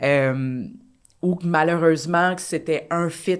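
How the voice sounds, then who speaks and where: A woman's very deep, low voice at a fairly slow pace, fairly even in intonation, on a very clean recording with a silent background. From Quebec. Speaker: dancer and choreographer. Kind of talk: casual chat.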